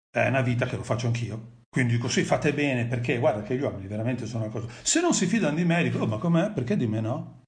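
A man talks at a very fast pace, somewhat breathy, with medium pitch and lively intonation. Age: 50s. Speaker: father of the host, guest speaker. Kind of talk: live stream interview, personal testimony.

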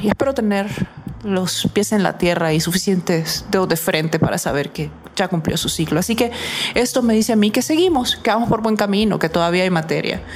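At a fairly quick pace, a woman with a medium pitch speaks at a very even loudness, with noticeable background noise. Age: 40s. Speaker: psychologist and radio host. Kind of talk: radio talk show monologue.

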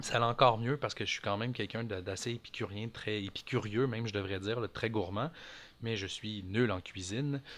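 In a very clean recording with a silent background, a man with a fairly low pitch talks fairly quickly and with fairly even intonation in an ordinary speaking voice. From Quebec (Montreal). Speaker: micro-greens farmer. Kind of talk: casual interview.

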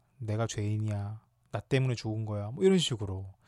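A man talks at a fairly quick pace in a dark, mellow tone. The recording is very clean, with a silent background. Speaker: podcast host. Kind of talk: solo podcast talk on grief. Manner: frequent fillers and hesitations.

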